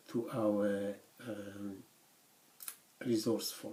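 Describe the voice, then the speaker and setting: Speaking with a non-native accent, a man talks at a medium pitch. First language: not English; English is third language. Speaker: university lecturer. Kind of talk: lecture. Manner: halting, many fillers.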